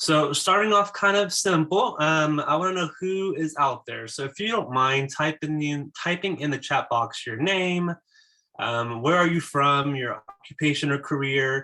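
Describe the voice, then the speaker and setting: Pitched fairly high, this man's voice shows ordinary variation and moves at a moderate pace. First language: Spanish. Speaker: school psychologist. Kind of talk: conference presentation. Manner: hesitant, many filler words.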